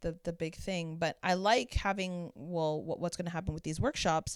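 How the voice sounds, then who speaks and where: A woman with a Canadian accent and a plain, everyday voice speaks at a moderate pace with fairly low pitch and ordinary pitch variation, on a very clean recording with a silent background. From Canada, Toronto. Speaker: drag king performer. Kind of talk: casual interview chat.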